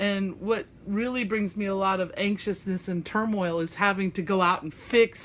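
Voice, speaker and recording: With a Southern US accent, a woman talks at a moderate pace. Her pitch is medium and her intonation fairly even. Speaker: craft vlogger. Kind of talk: casual chat. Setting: home craft desk, filmed by friend. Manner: chatty; halting.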